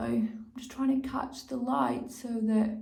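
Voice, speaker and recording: A woman with a high pitch and a dark, mellow tone speaks at a very slow pace. Audible room echo surrounds her voice. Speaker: beauty vlogger. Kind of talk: tutorial. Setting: home, natural light. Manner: casual, chatty.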